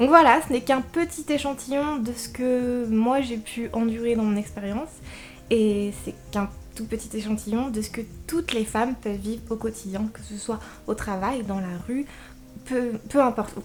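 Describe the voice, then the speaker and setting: A woman with a fairly high pitch speaks at a moderate pace. Her pitch varies in an ordinary way, while her loudness swings widely. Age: young. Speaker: book youtuber. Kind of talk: casual vlog talk. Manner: hesitant, with fillers. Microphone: microphone problems.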